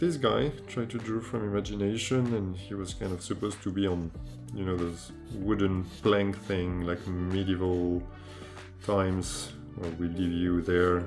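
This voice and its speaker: With music in the background, a man with a French accent speaks at a fairly slow pace in a very deep, low voice with ordinary pitch variation. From France. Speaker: amateur artist. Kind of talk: casual talk to camera, sketchbook tour. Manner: casual, hesitant.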